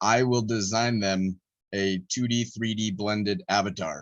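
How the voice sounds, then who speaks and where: A man with an American accent and ordinary pitch variation. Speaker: artist. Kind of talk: interview.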